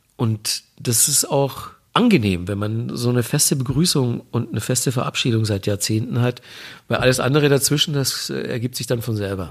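The man's voice is somewhat breathy, at a medium pitch. He keeps a moderate pace with ordinary pitch variation. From Bavaria, Manching near Ingolstadt. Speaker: music TV presenter. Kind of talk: interview. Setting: remote line.

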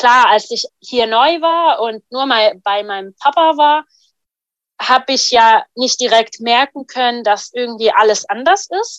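A woman's high pitch and lively intonation at a fairly slow pace, captured in a dry, close sound with no echo. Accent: Arabic. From Syria. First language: Arabic (speaking German). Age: 20s. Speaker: refugee and hospital volunteer. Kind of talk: personal testimony.

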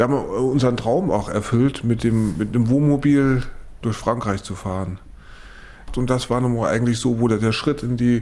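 At a moderate pace, a man speaks in a dark, mellow tone with fairly even intonation. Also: medium pitch for a man. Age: 40s. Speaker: cochlear implant patient. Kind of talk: interview testimony. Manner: halting.

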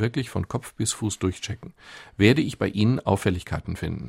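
A fairly quick, somewhat breathy man's voice, fairly low in pitch with ordinary pitch variation, on a very clean recording with a silent background. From Ruhr area, Germany (near Gelsenkirchen). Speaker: doctor and author. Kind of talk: radio interview.

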